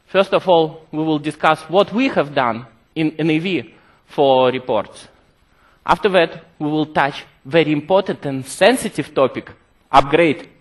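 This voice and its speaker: In a Russian accent, a man speaks with a fairly high pitch. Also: ordinary pitch variation, fairly slow pace. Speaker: software developer presenting product features. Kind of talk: conference presentation. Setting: stage with audience.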